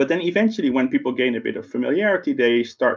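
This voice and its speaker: A man is speaking. He has a slight Dutch accent. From Netherlands. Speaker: tech company program manager. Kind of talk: keynote talk. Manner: conversational, with fillers.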